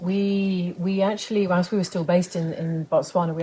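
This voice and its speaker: A woman's fairly low, somewhat breathy voice with a dark, mellow tone, a fairly quick pace and monotone, flat intonation. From England, Lancashire. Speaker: author and game lodge manager. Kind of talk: interview.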